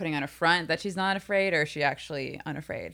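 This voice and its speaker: On a very clean recording with a silent background, a woman with a normal speaking voice talks at a fairly low pitch with fairly even intonation. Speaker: podcast host. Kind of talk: casual chat.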